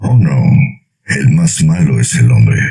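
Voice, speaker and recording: A man puts on a character voice that is raspy and very deep. He speaks at a fairly slow pace with very wide pitch swings. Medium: read story. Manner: jovial, hearty.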